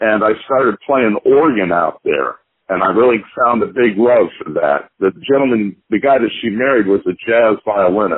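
A man with an American accent speaks in an unremarkable speaking voice at medium pitch and a moderate pace, with hardly any pauses. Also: ordinary pitch variation. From US Midwest, Kansas City. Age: 60s. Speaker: jazz pianist. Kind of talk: interview.

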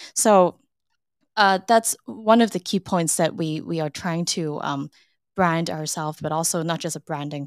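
A woman's unremarkable speaking voice, fairly low in pitch with ordinary pitch variation, at a fairly slow pace, dry and close with no echo on a very clean recording with a silent background. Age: 20s. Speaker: marketing manager. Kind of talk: interview.

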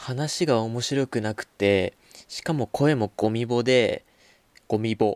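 A man is talking. His voice rises and falls with ordinary pitch variation. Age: young. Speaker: podcast host. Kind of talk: casual chat. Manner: halting.

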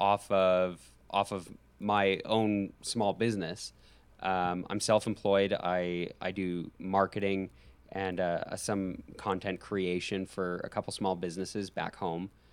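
In a very clean recording with a silent background, a man with a fairly low voice talks very slowly in a monotone, flat intonation. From Alberta, Canada. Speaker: podcaster, studying to be a high school teacher. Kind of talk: casual chat.

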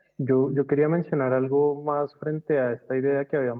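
Speaking in a fairly high pitch, a man keeps a moderate pace and a flat, monotone intonation. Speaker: university design department head. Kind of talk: casual brainstorming panel.

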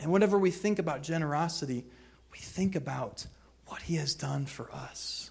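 A man with an American accent at a moderate pace, fairly high pitch and ordinary pitch variation, with audible room echo. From US Midwest, suburbs of St. Louis, Missouri. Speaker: guest preacher. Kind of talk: sermon. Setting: church. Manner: halting, frequent fillers and repetitions.

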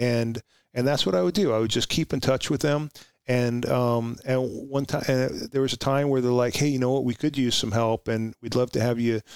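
Speaking with an American accent, a man at medium pitch keeps a moderate pace, fairly even intonation and very even loudness. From Oxnard, California (early childhood Long Island, New York). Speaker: retired police sergeant and Marine veteran. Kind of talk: interview conversation. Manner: halting, many fillers.

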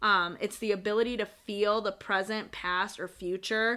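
The voice is loud and animated, captured in a very clean recording with a silent background. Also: woman. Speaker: tarot podcast co-host. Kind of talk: casual chat.

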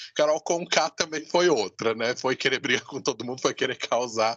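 A man with a fairly high pitch and ordinary pitch variation speaks in a normal speaking voice, the sound dry and close with no echo. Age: 30s. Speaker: podcast host. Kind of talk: casual chat.

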